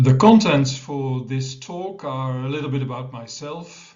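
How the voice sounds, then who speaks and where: A somewhat breathy voice at a fairly slow pace, with a Dutch accent and audible room echo. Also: man. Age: 60s. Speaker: professor of medicine. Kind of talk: conference presentation.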